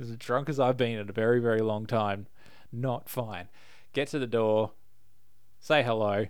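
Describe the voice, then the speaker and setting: A man with an Australian accent talks at a moderate pace in a medium pitch. His intonation is fairly even, and he leaves long, frequent pauses. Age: 30s. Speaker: podcast host. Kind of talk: casual chat.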